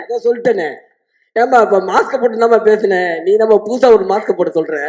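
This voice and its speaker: In this clip, a man speaks with a high pitch and ordinary pitch variation. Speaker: film actor, comedian. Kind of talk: trailer launch stage speech, humorous.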